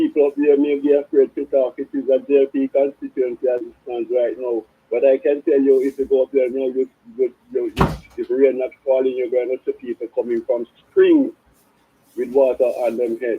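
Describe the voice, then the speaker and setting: Speaking with a Jamaican accent, a man keeps a moderate pace. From Jamaica, South Trelawney. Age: 70s. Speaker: caller. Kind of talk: phone-in call. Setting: phone call.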